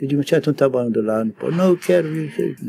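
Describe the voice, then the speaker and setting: This man talks at a very fast pace in a dark, mellow tone. The sound is dry and close, with no echo. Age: 80s+. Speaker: theater technician. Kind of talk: interview storytelling. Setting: theater.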